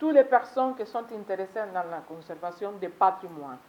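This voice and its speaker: A woman with a Spanish accent speaks over noticeable background noise, with audible room echo. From Cuba. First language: Spanish (speaking French). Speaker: foreign delegate at seminar. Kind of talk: conference speech. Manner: halting, with self-corrections.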